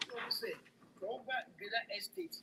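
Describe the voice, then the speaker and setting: Amid noticeable background noise, a woman speaks at a moderate pace in a fairly high pitch with lively intonation. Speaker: caller. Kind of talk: call-in opinion.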